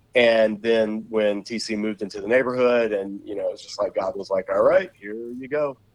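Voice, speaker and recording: A man with an American accent talks in an ordinary speaking voice at medium pitch and a moderate pace, with ordinary pitch variation. His loudness swings widely, and he hardly pauses. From US South, Savannah, Georgia. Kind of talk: interview.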